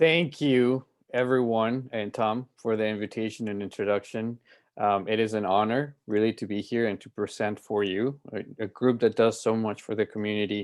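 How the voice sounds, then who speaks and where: This man speaks with a Spanish accent at medium pitch. He keeps a moderate pace and fairly even intonation. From Colombia (Medellin). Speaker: music festival director, violinist. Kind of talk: presentation to club. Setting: video call.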